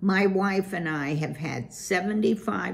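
A natural voice reads the text aloud. Its pitch moves in an ordinary way.

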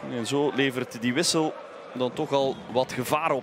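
An excited man with a Flemish accent, over noticeable background noise. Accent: Belgian Dutch (Flemish). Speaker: football match commentator. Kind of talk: live sports commentary. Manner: excited exclamations on chances and goals.

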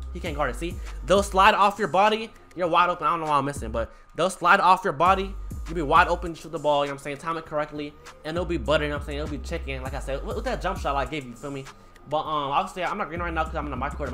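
Over music in the background, a man talks at a very fast pace. His loudness swings a lot. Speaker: gaming tutorial youtuber. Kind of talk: casual slang. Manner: fast talker.

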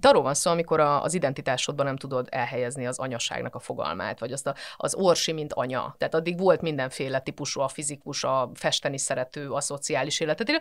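Against a quiet background, a woman with a very deep, low pitch speaks very fast with hardly any pauses and ordinary pitch variation. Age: 40s. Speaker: physicist and mental health professional; podcast guest. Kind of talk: casual interview chat. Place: studio.

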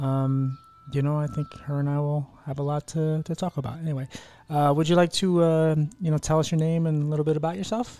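Keeping his intonation fairly even, a man speaks at a fairly quick pace with a dry sound and no echo. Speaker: podcast host. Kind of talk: podcast intro chat.

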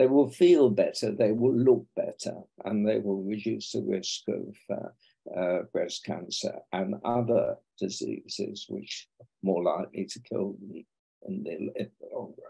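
A man with a British accent, fairly slow in pace, with big swings in loudness over a quiet background. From England. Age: 80s+. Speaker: breast cancer surgeon and professor. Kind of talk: podcast interview. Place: home room. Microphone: video call.

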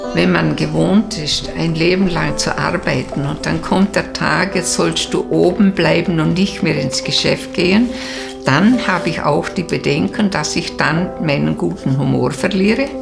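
Clear music plays in the background as a woman speaks at a fairly slow pace. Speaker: photo shop owner. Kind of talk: interview answer. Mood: warm, cheerful, content. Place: home room. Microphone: lapel.

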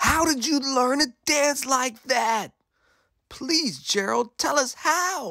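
A man puts on a character voice at an extremely high pitch, with a bright, sharp tone and vocal fry. He speaks slowly, his intonation lively.

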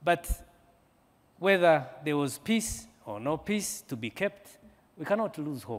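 Speaking at a fairly slow pace, a man leaves long, frequent pauses while his pitch swings very widely. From Rwanda. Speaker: military general; panelist. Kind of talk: panel discussion. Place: hall. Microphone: lapel.

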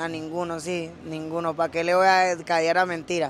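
Over light background noise, a man with a Venezuelan accent talks at a moderate pace, and the sound is dry with no echo. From Venezuela (Caracas, Valencia). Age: 20s. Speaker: rapper; interviewee. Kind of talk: casual interview. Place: street. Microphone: handheld.

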